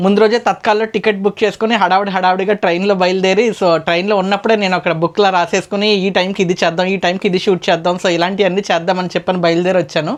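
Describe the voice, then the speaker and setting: Speaking in a monotone, flat way, the woman holds a medium pitch. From Konaseema, Andhra Pradesh. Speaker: YouTuber, interviewer. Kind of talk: casual talk to camera.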